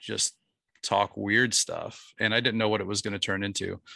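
This is an ordinary speaking voice moving at a moderate pace. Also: man. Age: 30s. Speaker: podcast host, guest on another show. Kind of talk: casual interview chat.

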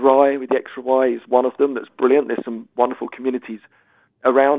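Speaking with an English accent, the voice moves at a fairly quick pace. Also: man. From England. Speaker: author and sobriety coach, former footballer. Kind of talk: recorded interview. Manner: animated.

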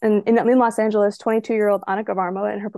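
Words come at a very fast pace in a dark, mellow tone. The sound is dry and close, with no echo. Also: woman. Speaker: aspiring screenwriter. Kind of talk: story pitch. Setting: at home, remote.

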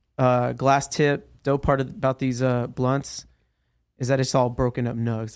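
Fairly slow, monotone speech from a man with an American accent, medium in pitch, flat in intonation. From San Diego, California. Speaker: dispensary assistant manager.

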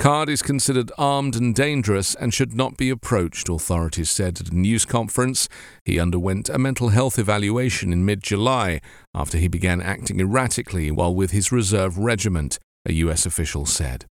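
A man's normal speaking voice, fairly low in pitch, with lively intonation and a fairly quick pace, on a very clean recording with a silent background. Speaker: news podcast host. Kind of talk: newsreading, scripted daily news bulletin. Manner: steady, formal, even-paced newsreader delivery; serious, neutral tone, little emotional color.

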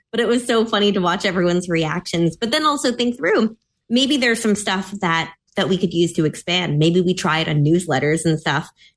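With a slight Mid-Atlantic accent, a woman talks at a fairly quick pace and very even loudness. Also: medium pitch for a woman. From US Mid-Atlantic. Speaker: policy analyst. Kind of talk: casual chat.

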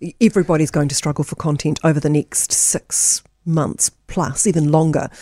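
In a New Zealand accent, a woman speaks with a very deep, low pitch, ordinary pitch variation and a dark, mellow tone. The recording is very clean, dry and close, with no echo and a silent background. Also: moderate pace. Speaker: radio host. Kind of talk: radio interview chat. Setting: radio studio.

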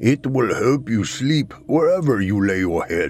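Taking a fairly slow pace, a man with a medium-pitched voice makes very wide pitch swings. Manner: sly, knowing, cryptic.

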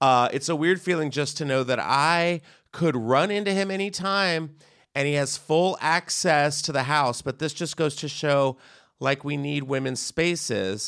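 In a very clean recording with a silent background, a man uses a normal speaking voice at a fairly high pitch and fairly slow pace, with ordinary pitch variation. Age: 30s. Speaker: podcast host and comedian. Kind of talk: casual chat.

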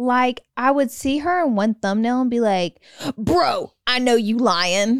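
A woman's high-pitched voice, very slow in pace and lively in intonation. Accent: Southern US. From US South (Alabama). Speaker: podcast co-host, beauty influencer. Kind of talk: casual chat.

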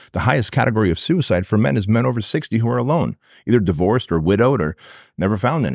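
A man with a fairly low voice and vocal fry speaks at a very fast pace, animated in tone. His pitch swings very widely, and the recording is very clean with a silent background. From Armenia, moved to US as child. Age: 40s. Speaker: entrepreneur and business coach. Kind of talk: podcast interview.

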